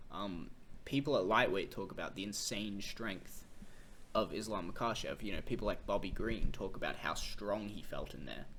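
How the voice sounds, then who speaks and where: The speaker has an Australian accent. Audible room echo surrounds the voice. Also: man, fairly low pitch for a man, ordinary pitch variation, moderate pace. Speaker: MMA commentator. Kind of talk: casual fight analysis monologue. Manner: casual, with fillers and restarts.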